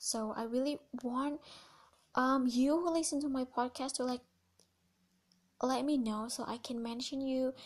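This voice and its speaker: With an Indonesian accent, the speaker uses fairly even intonation and a moderate pace broken by long, frequent pauses, on a very clean recording with a silent background. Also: woman, high pitch for a woman. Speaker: podcast host. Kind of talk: casual solo podcast talk.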